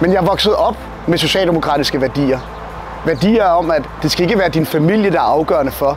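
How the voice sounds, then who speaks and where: With a Copenhagen accent, a man talks fairly quickly at a high pitch, his loudness very even and his pitch variation ordinary, while noticeable background noise runs underneath. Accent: Copenhagen Danish. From Denmark, Copenhagen. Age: 30s. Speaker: political candidate. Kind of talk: campaign speech.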